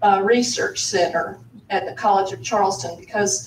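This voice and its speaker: With a Southern US accent and a medium pitch, a woman talks amid noticeable background noise and audible room echo. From US South, South Carolina. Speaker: audience member asking a question. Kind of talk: audience question at panel.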